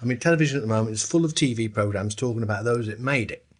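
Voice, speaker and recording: Somewhat breathy, a man talks at a very fast pace. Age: 70s. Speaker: former 1960s band member. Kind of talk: interview reminiscence.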